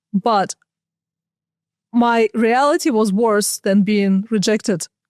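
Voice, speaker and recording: A woman with a Russian accent speaks at a fairly high pitch with fairly even intonation in a dry, close sound with no echo. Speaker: buyers agent. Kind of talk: podcast interview.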